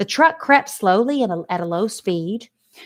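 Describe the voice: Someone gives a plain reading aloud. The intonation is lively, and all around it is quiet.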